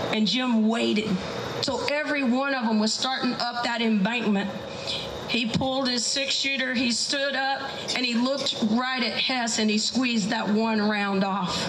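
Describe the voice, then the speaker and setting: Against noticeable background noise, a woman with an American accent speaks at a high pitch and a moderate pace, keeping her loudness very even. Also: fairly even intonation. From South Texas. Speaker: storyteller. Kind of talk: live folk tale telling. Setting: live event venue.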